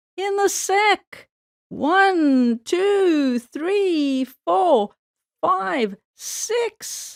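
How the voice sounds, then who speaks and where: A woman's put-on character voice, squeaky and extremely high in pitch, at a very slow pace. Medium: read story. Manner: chuckling, slow.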